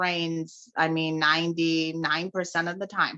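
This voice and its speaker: The woman's tone is bright and sharp. She speaks at a fairly slow pace. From Utah. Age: 30s. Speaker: podcast co-host. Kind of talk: casual chat. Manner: talkative.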